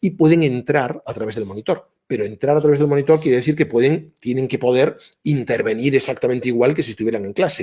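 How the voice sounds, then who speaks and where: A man's somewhat breathy, medium-pitched voice, fairly quick with lively intonation. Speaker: business school professor giving a talk. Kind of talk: online workshop talk. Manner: conversational with many fillers.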